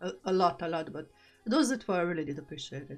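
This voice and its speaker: Music plays in the background as a woman speaks. She has a non-native accent and lively intonation. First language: not English. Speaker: gaming streamer. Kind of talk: casual livestream chat. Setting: livestream. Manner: hesitant, filler-heavy.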